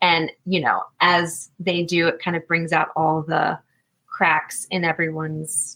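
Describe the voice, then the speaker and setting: A woman with an American accent speaks at a very slow pace in a fairly low pitch and a bright, sharp tone. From Virginia. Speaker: actress and singer-songwriter. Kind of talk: interview. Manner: animated, many fillers and restarts.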